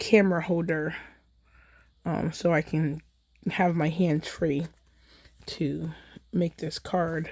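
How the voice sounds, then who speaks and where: A woman with a fairly low pitch and a dark, mellow tone speaks at a very slow pace. Her intonation is monotone and flat, in a very clean recording with a silent background. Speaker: card-making video creator. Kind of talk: casual crafting chat.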